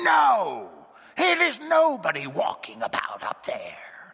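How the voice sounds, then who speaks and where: This is a put-on character voice with a raspy sound. It moves at a fairly slow pace. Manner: crying out, sharp.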